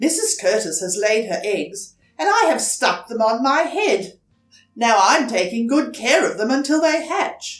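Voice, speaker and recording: A woman's fairly high-pitched put-on character voice at a moderate pace, with faint music in the background. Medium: read story.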